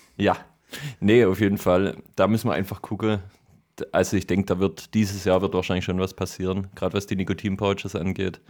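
On a very clean recording with a silent background, a man with a slight Swabian accent speaks fairly quickly in a very deep, low pitch and a flat monotone. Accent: light Swabian dialect. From Swabia, southern Germany. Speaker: podcast host. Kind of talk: casual chat. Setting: home studio.

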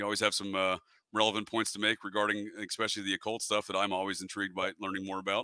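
On a very clean recording with a silent background and a dry, close sound with no echo, a man speaks at a very fast pace. His fairly low voice has an American accent, a bright, sharp tone and a monotone, flat intonation. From New England (Connecticut, Vermont). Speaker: podcast host. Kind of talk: casual discussion. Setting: home studio.

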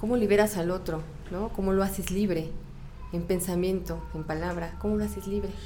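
A woman speaks at a fairly quick pace, her voice carrying audible room echo amid noticeable background noise. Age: 40s. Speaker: teacher. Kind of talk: casual interview.

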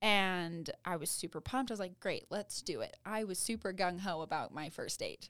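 A woman with an American accent speaks at medium pitch and a moderate pace, with ordinary pitch variation and hardly any pauses, on a very clean recording with a silent background. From Utah, near Ogden. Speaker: college student. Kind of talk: casual chat. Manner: animated.

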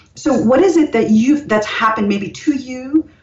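A woman at a moderate pace, her pitch swinging very widely, with noticeable background noise. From India, then United States. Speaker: author. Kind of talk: interview.

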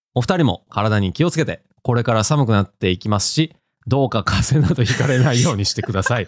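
A man's very fast talk in a Kansai accent, lively in intonation, dry and close with no echo. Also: medium pitch for a man. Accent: Kansai Japanese. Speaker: manga podcast co-host. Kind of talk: casual chat.

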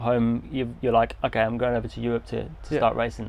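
In an English accent, a man talks at a fairly quick pace. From England. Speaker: podcast host and touring cyclist. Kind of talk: casual interview. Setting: outdoors. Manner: hesitant, many fillers.

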